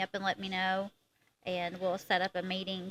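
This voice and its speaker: A woman's medium-pitched, bright, sharp voice in a strong Eastern Kentucky accent, fairly quick and monotone, with a dry, close sound and no echo. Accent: strong Southern Eastern Kentucky twang. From Eastern Kentucky (Harlan County). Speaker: actress and photographer. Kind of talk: casual interview chat.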